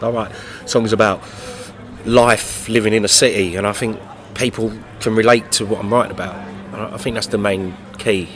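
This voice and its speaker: Speaking at a fairly quick pace with a London accent, a man with a fairly low pitch keeps a fairly even intonation amid noticeable background noise and audible room echo. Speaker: singer-songwriter. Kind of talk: interview. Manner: halting, many fillers and repeats.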